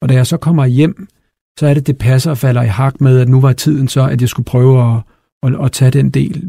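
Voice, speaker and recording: Somewhat breathy, a man speaks at a fairly quick pace with a fairly high pitch and fairly even intonation. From Copenhagen, Denmark. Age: 40s. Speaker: company CEO. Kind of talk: interview.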